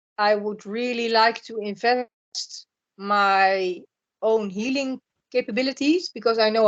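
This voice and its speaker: A woman speaks with a Dutch accent at a moderate pace. Her voice is fairly high, with ordinary pitch variation. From Netherlands. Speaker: spiritual blogger. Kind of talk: podcast interview. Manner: halting, repeats words.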